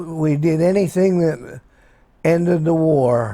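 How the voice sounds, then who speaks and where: Fairly high in pitch yet dark and mellow in tone, a man speaks with an American accent and ordinary pitch variation. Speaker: war veteran. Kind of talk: interview. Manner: halting.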